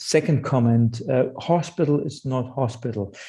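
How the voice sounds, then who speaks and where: With a German accent, a man talks at a medium pitch in a dark, mellow, somewhat breathy tone, showing ordinary pitch variation against a quiet background. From Germany. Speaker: psychosocial hospital provider CEO. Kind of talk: webinar discussion.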